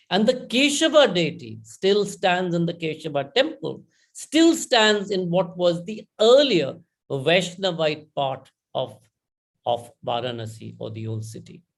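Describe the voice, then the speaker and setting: A man speaks in a Bengali accent at a fairly slow pace and a high pitch. His voice shows very wide pitch swings and big swings in loudness. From India. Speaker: conference speaker. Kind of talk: conference talk. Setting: online conference.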